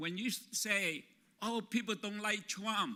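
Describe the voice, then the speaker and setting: A man with a non-native accent uses a raised, projected voice, high in pitch with a bright, sharp tone. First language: not English. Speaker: labor organizer. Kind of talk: conference talk.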